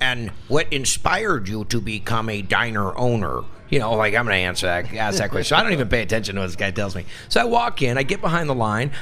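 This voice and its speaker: Faint music plays behind a man who talks at a very fast pace. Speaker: radio interview guest, TV host. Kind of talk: interview answer.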